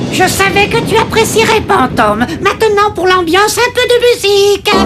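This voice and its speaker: A cartoonish character voice speaks at an extremely high pitch and a moderate pace. Loud music plays in the background. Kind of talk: cartoon villain overacting. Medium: fan dub. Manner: theatrical, gloating.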